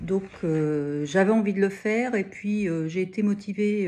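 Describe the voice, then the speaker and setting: A woman's dark, mellow voice at a very slow pace against a quiet background. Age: 60s. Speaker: knitting student. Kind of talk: testimony. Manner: halting, many hesitations.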